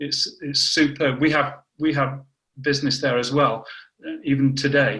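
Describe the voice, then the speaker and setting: A man at a fairly high pitch with a northern English accent, at a moderate pace. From northern England, Warrington. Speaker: scientist. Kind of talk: casual interview.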